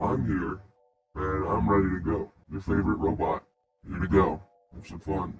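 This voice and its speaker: Put-on character voice from a man, very deep and low, broken by long, frequent pauses. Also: moderate pace. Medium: actual play. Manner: blunt, earnest.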